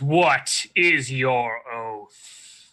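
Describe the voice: A man adopts a put-on character voice pitched in the medium range.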